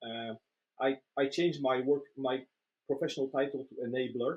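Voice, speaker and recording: A man with a Polish accent speaks in fairly even intonation, recorded dry and close with no echo. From Poland. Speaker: agile trainer and coach. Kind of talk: casual interview. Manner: hesitant, many fillers and repetitions.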